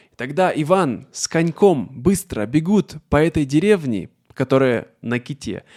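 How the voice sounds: A man's fairly high, slightly mellow voice with big pitch swings at a fairly slow pace, in a very clean recording over a silent background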